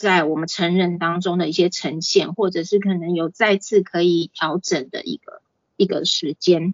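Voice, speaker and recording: A woman with a medium pitch talks fairly slowly. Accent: Taiwanese. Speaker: clinical psychologist giving a parenting talk. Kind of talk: lecture. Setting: online class on video call. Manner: frequent fillers and hesitations.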